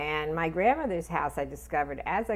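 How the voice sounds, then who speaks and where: A woman speaks with an American accent. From Riverside, Connecticut, US. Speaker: descendant of immigrants interviewee. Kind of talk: interview testimony.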